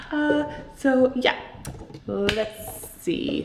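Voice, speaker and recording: A soft-spoken woman's voice with lively intonation, audible room echo and noticeable background noise. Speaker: artist and vlogger. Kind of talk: casual vlog. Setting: new office studio. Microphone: echo in the room.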